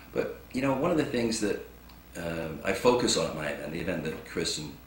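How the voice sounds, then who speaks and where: There is noticeable background noise and audible room echo. A man speaks with an English accent. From England. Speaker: motivational speaker. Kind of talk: inspirational talk.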